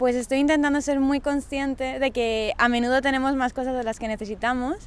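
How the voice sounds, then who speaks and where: Speaking fairly quickly, a woman keeps a high pitch and fairly even intonation. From Valencia region, Spain (Sagunto). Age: 20s. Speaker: camp educator, biologist. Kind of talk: self-introduction.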